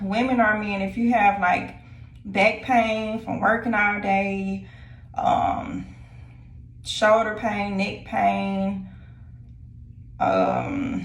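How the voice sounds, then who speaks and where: A woman speaks at a very slow pace, leaving long, frequent pauses. Room echo is audible. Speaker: lifestyle vlogger. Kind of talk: casual vlog chat. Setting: at home. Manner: hesitant with many fillers.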